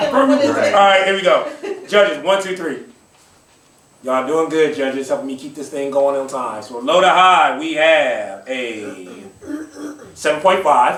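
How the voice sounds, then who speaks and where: With an upbeat tone and lively intonation, a man with a fairly high pitch speaks at a fairly slow pace, his loudness swinging widely between long, frequent pauses as noticeable background noise runs underneath. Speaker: poetry slam host. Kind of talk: live event hosting, casual talk to audience. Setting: live audience in a room. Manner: upbeat, hype.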